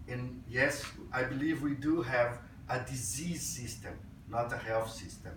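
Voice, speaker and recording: With audible room echo, a man speaks in a Portuguese accent at a fairly slow pace, with a medium pitch and ordinary pitch variation. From Brazil. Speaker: physician and health IT speaker. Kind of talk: conference talk. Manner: hesitant, with fillers.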